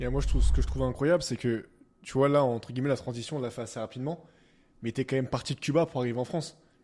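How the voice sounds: A man speaks at a very fast pace in a medium pitch, with fairly even intonation and a slightly mellow tone.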